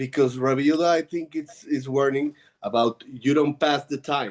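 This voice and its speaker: With a non-native accent, a man speaks at a moderate pace in a fairly high pitch, his intonation fairly even and the sound dry and close with no echo. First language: not English. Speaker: student. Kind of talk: class discussion. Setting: video call. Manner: halting.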